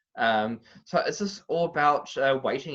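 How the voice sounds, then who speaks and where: In front of a quiet background, a man speaks with a New Zealand accent. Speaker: boxing analyst. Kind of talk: interview. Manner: halting.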